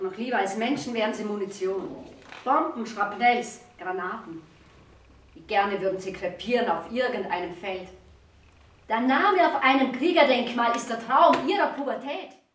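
A woman speaks with lively intonation and big swings in loudness. The room echo is audible, and there is light background noise. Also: moderate pace.

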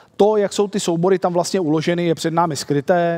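The setting is quiet. A man delivers his words fairly quickly, with ordinary variation in pitch. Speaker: conference presenter. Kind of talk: lecture. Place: hall.

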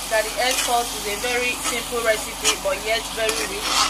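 The speech runs at a moderate pace. Loud background noise fills the clip. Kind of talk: cooking tutorial. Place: kitchen.

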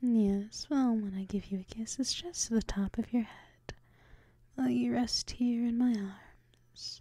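A woman speaks fairly slowly in a somewhat breathy, dark, mellow voice, fairly high in pitch with ordinary pitch variation. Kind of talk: ASMR role play. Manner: whispered.

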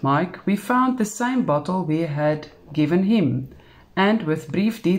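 Intonation turns lively as an unforced reading voice goes on.

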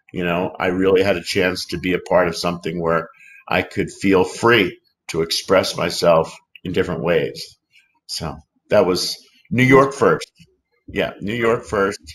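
A man's very deep, low voice at a fairly slow pace, broken by long, frequent pauses. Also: ordinary pitch variation. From Philadelphia. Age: 50s. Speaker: actor; interview guest, actor. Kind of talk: interview. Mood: reflective, open. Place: home room.

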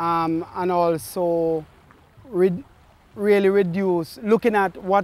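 The voice belongs to a man with a high pitch. The sound is dry with no echo. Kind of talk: interview answer. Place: waterside. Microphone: lapel.

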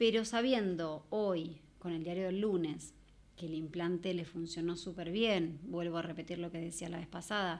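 The woman's pitch is fairly low, her intonation fairly even. She keeps a moderate pace. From Argentina. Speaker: mother of a deaf child; podcast guest. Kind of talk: personal testimony. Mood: earnest, reflective. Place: studio. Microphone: studio mic.

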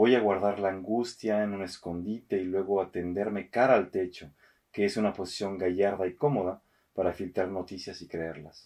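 A man at a fairly low pitch with fairly even intonation, against a quiet background. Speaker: radio host and poetry reader. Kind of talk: poetry reading, read aloud in a theatrical actor's delivery. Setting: studio recording. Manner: measured, expressive, slow and intimate. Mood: calm, intimate.

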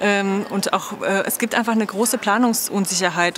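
A woman talks at a fairly quick pace with monotone, flat intonation and a medium pitch. Light background noise can be heard. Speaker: book fair spokesperson. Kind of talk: interview answers. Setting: video call. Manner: hesitant, many filler words. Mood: calm, friendly, informative. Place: hall. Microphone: lapel.

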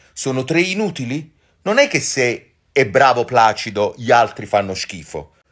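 Over a quiet background, the speaker uses an animated tone and very wide pitch swings at a fairly slow pace. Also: man. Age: old. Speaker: actor and social media creator; actor, social media creator. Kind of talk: casual chat answering viewer comments. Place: home room. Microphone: phone near.

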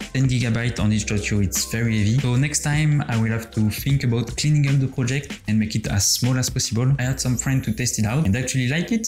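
A man at a very fast pace with ordinary pitch variation, clear music in the background. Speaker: game developer vlogger. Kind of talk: casual devlog chat. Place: home room. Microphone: studio mic.

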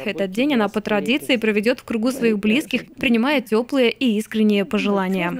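With an unremarkable speaking voice, a woman talks at a fairly high pitch, her pitch varying in an ordinary way and her loudness very even. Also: moderate pace, hardly any pauses. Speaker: TV news reporter. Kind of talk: TV news report.

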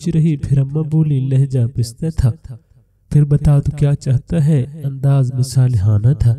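What you hear is plain reading aloud.

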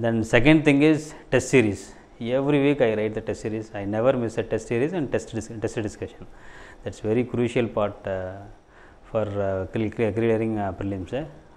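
A man talks in a Tamil accent. His pitch variation is ordinary. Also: moderate pace. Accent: Tamil-accented Indian English. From Tamil Nadu, India (Thanjavur district village). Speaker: civil services exam topper. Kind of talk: interview testimony. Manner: halting. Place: office. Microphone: lapel.

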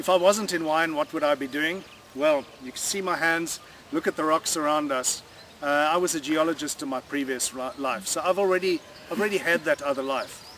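Recorded dry with no echo and light background noise, a man speaks at a fairly quick pace with ordinary pitch variation. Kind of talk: interview answer. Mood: relaxed, cheerful. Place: waterside.

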